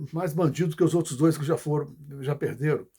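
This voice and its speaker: A man's fairly high voice carries a dark, mellow tone as he talks at a fairly quick pace. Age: 60s. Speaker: political commentator. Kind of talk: video message monologue. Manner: halting.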